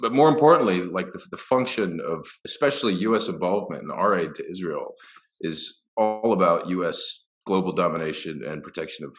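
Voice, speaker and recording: A fairly low-pitched man speaking at a fairly quick pace with lively intonation, music in the background. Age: 30s. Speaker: podcast guest, musician and actor. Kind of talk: podcast interview. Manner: calm, ASMR-like; hesitant with repeated words.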